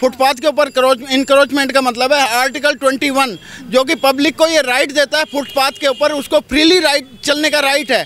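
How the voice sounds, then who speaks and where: Amid noticeable background noise, a man with an extremely high pitch speaks at a moderate pace with very even loudness, fairly even intonation and hardly any pauses. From Delhi. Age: 60s. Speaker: local resident complaining. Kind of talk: street interview.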